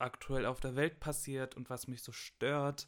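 On a very clean recording with a silent background, a man speaks fairly slowly in a normal speaking voice at a medium pitch. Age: 20s. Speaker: university student. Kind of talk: casual chat.

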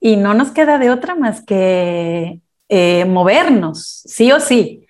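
A woman speaks very slowly at a medium pitch, her intonation lively. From Mexico. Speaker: life coach. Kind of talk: interview. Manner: calm.

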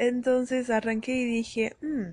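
A woman with a Uruguayan accent speaks in a somewhat breathy voice. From Brazil and Uruguay. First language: Portuguese (speaking Spanish). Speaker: podcast host. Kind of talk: casual monologue. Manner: animated.

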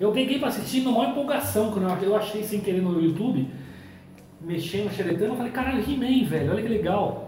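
Over noticeable background noise and audible room echo, a man with a high voice talks at a fairly quick pace with lively intonation. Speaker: podcast host. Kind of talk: casual chat. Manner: loud. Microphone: far from the recorder.

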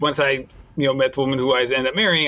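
Speaking very fast, a man uses a fairly high pitch and a bright, sharp tone. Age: 40s. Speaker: running podcast host. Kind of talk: interview.

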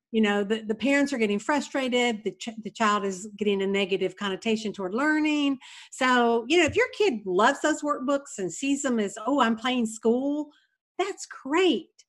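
At a moderate pace, a woman with a normal speaking voice talks in a fairly high pitch with lively intonation. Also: very clean recording, silent background. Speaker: retired kindergarten teacher. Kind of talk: casual interview.

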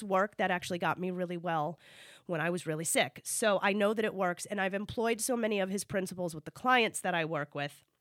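The tone is animated, bright and sharp. The sound is dry and close, with no echo. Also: woman. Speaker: psychotherapist podcast host. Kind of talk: casual chat; tutorial.

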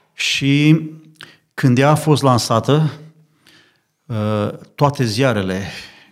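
A man speaks with ordinary pitch variation in a very clean recording with a silent background. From Romania, Bucharest. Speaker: lay preacher, church member. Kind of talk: religious discussion on radio. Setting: studio.

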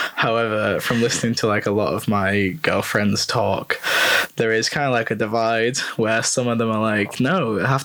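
Speaking with a North West English accent, a man talks at a moderate pace and medium pitch amid noticeable background noise. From North West England, rural. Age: 20s. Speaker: postgraduate student. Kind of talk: casual chat.

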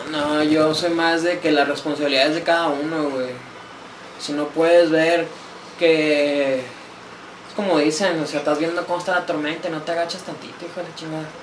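Over noticeable background noise and audible room echo, a man with a fairly high pitch speaks at a moderate pace in a monotone, flat intonation. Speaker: podcast guest. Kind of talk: casual chat. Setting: small home studio.

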